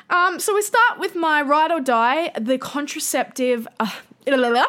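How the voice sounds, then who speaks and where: A woman with a strong Australian accent speaks at a moderate pace in a high, bright, sharp voice with very wide pitch swings. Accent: broad Australian. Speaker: podcast host. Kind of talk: solo educational podcast monologue. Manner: casual, chatty with fillers.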